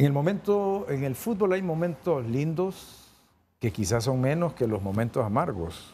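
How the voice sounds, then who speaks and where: A man with a Honduran accent, fairly high in pitch, somewhat breathy and dark and mellow in tone, at a fairly slow pace with very wide pitch swings, over light background noise. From Honduras. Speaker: sports TV host. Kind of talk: interview. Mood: warm, friendly. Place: studio. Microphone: lapel.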